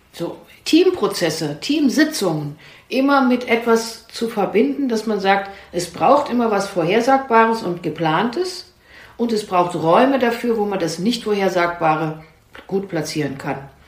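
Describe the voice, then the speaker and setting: Through audible room echo and noticeable background noise, a woman with a medium pitch speaks with very wide pitch swings. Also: fairly slow pace. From East Germany. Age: 60s. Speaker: family therapist and clinic founder. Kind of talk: interview.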